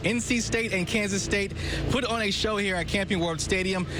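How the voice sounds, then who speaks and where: Over music in the background, a man with a high pitch speaks at a fairly quick pace. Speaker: sports anchor. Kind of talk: sports broadcast anchor read.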